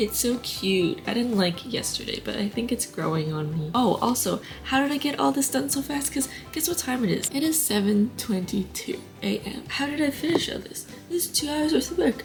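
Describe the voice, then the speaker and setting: Amid noticeable background noise, a woman with a high pitch talks at a fairly quick pace with very wide pitch swings. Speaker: crochet vlogger. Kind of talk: casual vlog talk. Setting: at home, windows open. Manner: rambling, chatty.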